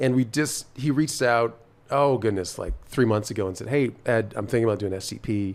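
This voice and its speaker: Moving at a fairly quick pace, a man speaks at medium pitch in a plain, everyday voice. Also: ordinary pitch variation. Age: 60s. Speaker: cycling program founder. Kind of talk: casual chat.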